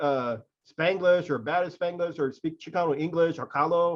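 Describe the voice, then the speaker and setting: In a normal speaking voice, a man talks at a moderate pace with fairly high pitch. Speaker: literary magazine editor. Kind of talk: interview questions, casual conversation.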